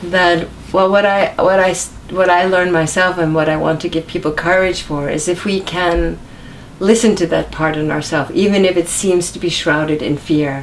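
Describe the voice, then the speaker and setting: A woman with an American accent and a fairly low pitch, at a moderate pace with fairly even intonation, amid noticeable background noise. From US Northeast, New York. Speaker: author and singer. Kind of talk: interview.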